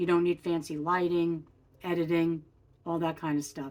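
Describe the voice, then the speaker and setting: She speaks with a plain, everyday voice. It is fairly low in pitch and moves at a moderate pace. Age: 60s. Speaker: lifestyle vlogger. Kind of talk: casual vlog talk to camera. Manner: casual, with frequent fillers.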